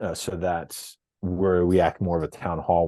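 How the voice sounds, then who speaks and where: A man is talking against a quiet background. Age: 40s. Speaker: product executive, podcast guest. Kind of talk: interview. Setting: podcast interview. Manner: hesitant, many filler words.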